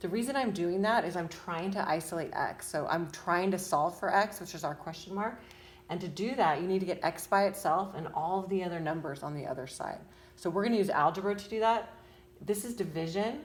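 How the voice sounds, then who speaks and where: Audible room echo surrounds a woman speaking at a medium pitch and a fairly quick pace. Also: ordinary pitch variation. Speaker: parent tutoring child in math. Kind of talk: homework tutorial. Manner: fast; casual, hesitant with fillers.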